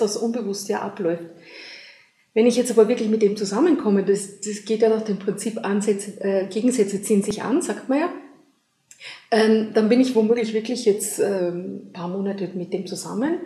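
With an Austrian accent, a woman speaks in a fairly high pitch with ordinary pitch variation. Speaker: relationship coach. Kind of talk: interview.

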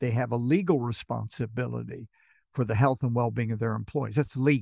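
A man's plain, everyday voice at medium pitch with ordinary pitch variation, dry and close with no echo, over a quiet background. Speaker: professor. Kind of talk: casual panel discussion.

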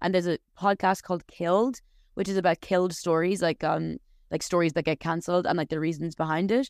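In an Irish accent, the speaker talks very fast with fairly even intonation, on a very clean recording with a silent background. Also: woman, fairly low pitch for a woman. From Ireland. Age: 30s. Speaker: novelist. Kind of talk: casual interview. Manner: hesitant, many fillers.

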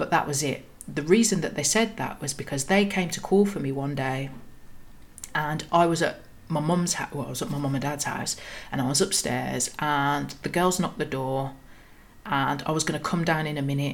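With a Birmingham accent, a woman talks at a fairly quick pace in a very deep, low pitch with ordinary pitch variation. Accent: Birmingham (Brummie) English. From Birmingham, England. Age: 30s. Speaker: podcast host. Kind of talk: personal storytelling monologue.

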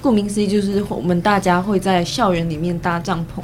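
Noticeable background noise runs under the speech. The pace is moderate, with ordinary pitch variation. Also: woman. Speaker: university student. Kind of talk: casual chat.

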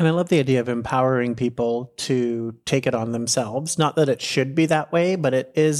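A man's plain, everyday voice at medium pitch, fairly quick in pace, with fairly even intonation. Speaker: podcast host. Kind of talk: interview.

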